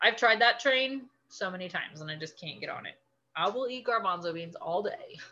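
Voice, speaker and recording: A woman with a fairly high pitch sounds animated and bright, sharp, with very wide pitch swings and big changes in loudness. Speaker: nutrition class teacher. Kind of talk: lecture. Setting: video call.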